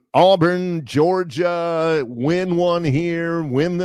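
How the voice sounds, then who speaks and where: A man with an Alabama accent speaks at a very slow pace in a high pitch. His intonation is fairly even, and the background is quiet. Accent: Southern US (Alabama). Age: 60s. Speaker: sports radio co-host. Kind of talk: casual chat.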